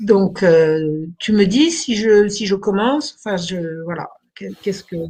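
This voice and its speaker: Speaking very slowly, a woman uses lively intonation at a medium pitch. Her loudness rises and falls sharply. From France, Burgundy. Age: 70s. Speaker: historian. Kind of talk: interview.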